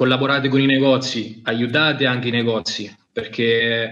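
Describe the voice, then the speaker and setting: At a moderate pace, a man with a medium pitch talks in a monotone, flat voice. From Italy, Marche (Macerata province). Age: 20s. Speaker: fishing brand product manager. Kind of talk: casual interview on live stream.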